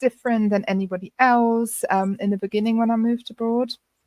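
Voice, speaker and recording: A woman speaks with a German accent. The sound is dry and close, with no echo. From Germany. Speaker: friendship coach. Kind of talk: interview.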